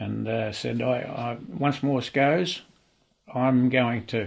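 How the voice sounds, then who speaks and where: With an Australian accent, a man talks at a very slow pace and ordinary pitch variation. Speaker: retired telegraphist. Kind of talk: documentary interview.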